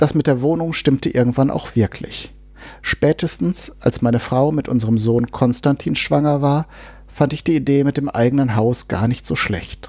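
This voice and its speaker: Dark, mellow tone with ordinary pitch variation. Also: man, medium pitch for a man, moderate pace. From Germany, Westphalia. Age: 40s. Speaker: recovering alcoholic memoirist. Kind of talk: reading aloud.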